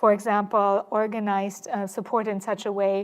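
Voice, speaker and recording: A woman at a medium pitch with a German accent, moderate in pace and flat, monotone in intonation, in a very clean recording with a silent background. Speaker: historian, panel moderator. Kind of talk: panel discussion moderation. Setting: lecture hall with audience. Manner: halting, many fillers.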